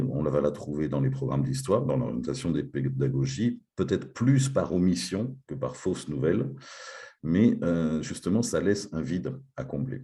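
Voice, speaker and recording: This man has a dark, mellow tone with vocal fry, very wide pitch swings and a moderate pace. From France. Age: 50s. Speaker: teacher. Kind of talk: conference talk.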